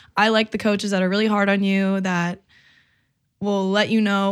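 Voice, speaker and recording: Recorded very cleanly against a silent background, a woman speaks at a medium pitch and a moderate pace with monotone, flat intonation. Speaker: college athlete. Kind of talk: casual interview chat. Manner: loud, verbal, confident.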